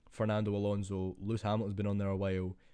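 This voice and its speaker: A man talks quietly at a very fast pace, with a fairly low pitch and a dark, mellow tone. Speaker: F1 YouTuber. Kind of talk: casual vlog commentary. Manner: quiet, keeping voice down.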